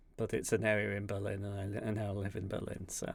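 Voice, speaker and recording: A man speaks with a Yorkshire accent. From West Yorkshire, England. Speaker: acapella loop streamer. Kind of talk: live stream chat. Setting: live stream.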